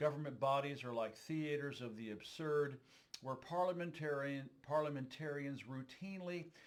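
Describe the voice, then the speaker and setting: With an ordinary speaking voice, a man talks at a moderate pace with a fairly high pitch and ordinary pitch variation. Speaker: political podcaster. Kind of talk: essay reading.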